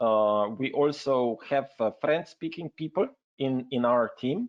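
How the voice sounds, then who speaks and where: A man with a Slovenian accent and lively intonation. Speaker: health network representative. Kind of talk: webinar presentation. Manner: hesitant, many fillers.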